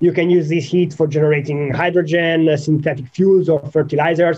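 A man speaks with an Italian accent at a fairly high pitch. His intonation stays fairly even. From Italy. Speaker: nuclear engineering researcher. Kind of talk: technical interview. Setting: video call. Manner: halting, frequent fillers.

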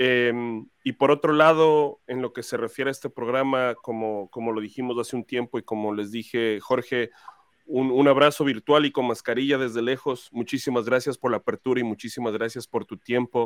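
Here is a man with a plain, everyday voice at a medium pitch. His pace is moderate and his intonation fairly even. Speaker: fan podcast host. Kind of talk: casual interview. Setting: live stream video call.

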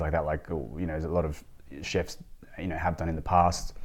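Speaking with an Australian accent, this man has a very deep, low pitch. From Australia, Sydney. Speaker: restaurant owner, former lawyer. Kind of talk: interview. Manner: halting, many fillers and repeats.

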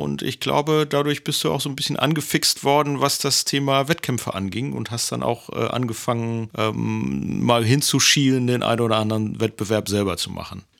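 A man with a normal speaking voice talks at a moderate pace. His pitch is medium and his intonation is lively. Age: 50s. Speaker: podcast co-host, partner of person with diabetes. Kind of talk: casual chat.

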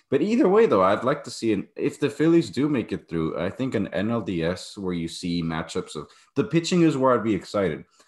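Against a quiet background, a man with a normal speaking voice talks at a moderate pace with lively intonation. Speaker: podcast host. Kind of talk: casual sports chat.

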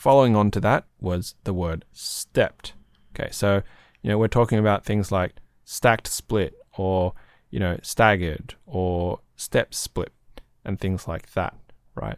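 In a relaxed tone, a man speaks with an Australian accent at fairly low pitch and a fairly slow pace. His pitch varies an ordinary amount, and the sound is dry and close with no echo. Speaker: podcast host and community moderator. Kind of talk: casual chat. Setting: online voice chat.

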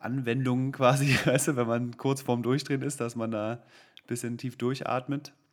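Hardly pausing at all, a man of medium pitch speaks at a moderate pace in a monotone, flat intonation. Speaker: friend and recurring podcast guest. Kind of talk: casual chat.

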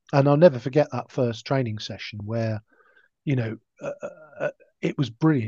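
At a moderate pace, a man speaks at medium pitch in a dark, mellow tone, recorded with a dry, close sound and no echo. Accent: southern English. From southern England, Hampshire (Gosport). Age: 50s. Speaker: blind cricketer. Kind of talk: interview.

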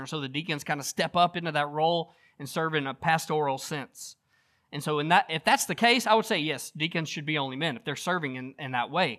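This man has a fairly high pitch and a bright, sharp tone, with ordinary pitch variation at a fairly quick pace. The recording is very clean, with a silent background. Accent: Southern US. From US South. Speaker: pastor. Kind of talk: sermon.

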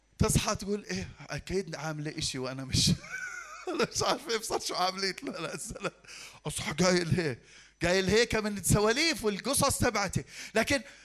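This man's pitch is high and swings very widely. He talks at a moderate pace. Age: 50s. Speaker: pastor. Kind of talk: sermon.

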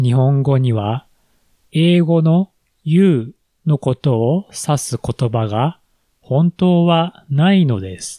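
In a dry, close recording with no echo, a man speaks very slowly in a fairly high, dark and mellow voice with lively intonation. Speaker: Japanese language teacher, podcast host. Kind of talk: language lesson podcast. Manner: slow, clear for learners.

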